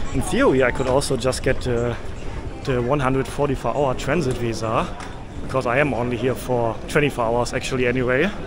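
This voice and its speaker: With music in the background, the speaker keeps very even loudness, fairly even intonation and a moderate pace. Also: man. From Germany. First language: German. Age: 30s. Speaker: travel vlogger. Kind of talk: travel vlog narration. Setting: on location, outdoors and traveling. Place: station. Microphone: phone near.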